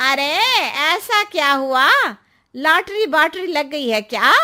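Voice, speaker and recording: A woman's high-pitched, cartoonish character voice with lively intonation at a fairly slow pace. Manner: knowing, cautionary.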